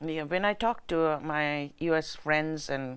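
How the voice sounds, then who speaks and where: A woman speaks with a very deep, low pitch and fairly even intonation. The recording is very clean, with a silent background. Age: 70s. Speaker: nonprofit founder. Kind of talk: interview.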